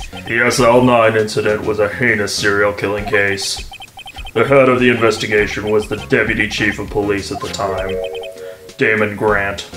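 Clear music plays behind a man doing a put-on character voice at a fairly low pitch, a moderate pace and fairly even intonation. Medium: game stream. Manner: formal, clipped.

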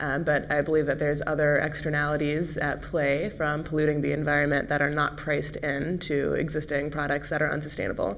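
A woman with an American accent talks very fast in a very deep, low, flat monotone, with very even loudness. She hardly pauses, and light background noise is audible. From United States. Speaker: company CEO; guest. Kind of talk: panel discussion. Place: studio. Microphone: lapel.

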